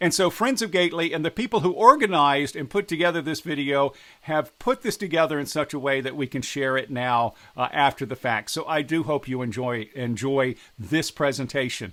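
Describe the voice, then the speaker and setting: With an American accent, a man talks at a fairly quick pace in a fairly high pitch, his tone bright and sharp and his intonation lively. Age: 60s. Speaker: politician. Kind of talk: direct address to camera.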